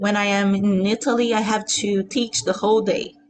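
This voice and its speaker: A woman with a Portuguese accent, medium pitch, ordinary pitch variation, and a fairly slow pace, over noticeable background noise. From Brazil, Rio de Janeiro. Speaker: singer-songwriter and pianist. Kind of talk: casual interview chat.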